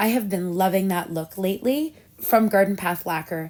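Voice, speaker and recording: In a plain, everyday voice, a woman speaks at medium pitch and a moderate pace with ordinary pitch variation. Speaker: nail polish reviewer. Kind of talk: casual talk to camera.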